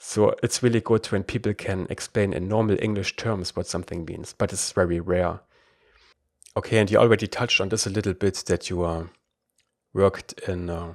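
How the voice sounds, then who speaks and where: With a German accent, a man speaks at a moderate pace and a fairly low pitch, the sound dry and close with no echo. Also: fairly even intonation, very clean recording, silent background. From Germany. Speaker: podcast host. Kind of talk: interview.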